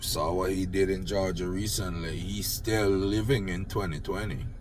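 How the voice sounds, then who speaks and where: With a Jamaican accent, the speaker keeps a moderate pace and fairly even intonation, with music in the background and audible room echo. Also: man, very deep, low pitch for a man. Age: old. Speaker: political commentator vlogger. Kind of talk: unscripted rant.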